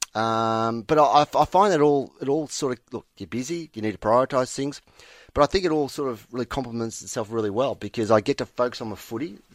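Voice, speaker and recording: Speaking very fast in an Australian accent, a man with a medium pitch and ordinary pitch variation comes through in a very clean recording with a silent background and a dry, close sound with no echo. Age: 40s. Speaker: football umpire. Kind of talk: casual chat. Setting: studio. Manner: halting.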